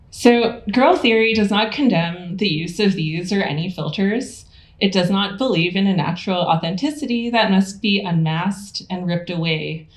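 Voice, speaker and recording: Over noticeable background noise and audible room echo, a woman talks at a moderate pace with hardly any pauses, her medium pitch showing ordinary pitch variation. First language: not English. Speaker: theorist and lecturer. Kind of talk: lecture.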